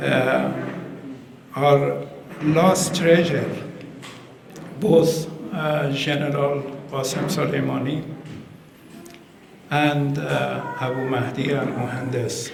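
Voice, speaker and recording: A fairly high-pitched man speaks at a very slow pace with fairly even intonation and long, frequent pauses, amid audible room echo and noticeable background noise. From Iran. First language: Persian. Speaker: ambassador. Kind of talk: formal speech at community event. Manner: halting, many hesitations.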